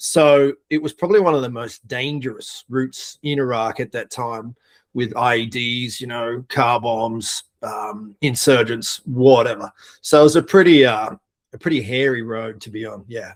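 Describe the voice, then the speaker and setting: In an Australian accent, a man talks with big swings in loudness and ordinary pitch variation. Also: medium pitch for a man, moderate pace, very clean recording, silent background. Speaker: air force veteran. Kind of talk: casual interview.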